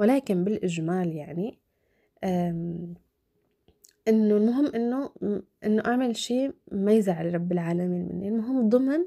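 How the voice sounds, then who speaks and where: A woman's dark, mellow voice at medium pitch, with lively intonation, a fairly slow pace and long, frequent pauses. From Syria, Damascus. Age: 20s. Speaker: vlogger. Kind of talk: casual Q&A vlog. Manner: halting, with fillers.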